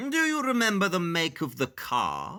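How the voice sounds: Over a very clean recording with a silent background, a man uses a put-on character voice with a bright, sharp tone, high pitch, very wide pitch swings and a fairly slow pace.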